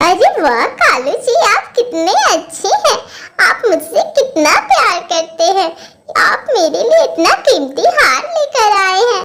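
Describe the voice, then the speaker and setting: An extremely high-pitched cartoonish character voice moves at a fairly slow pace with very wide pitch swings. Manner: sweet-talking, scheming.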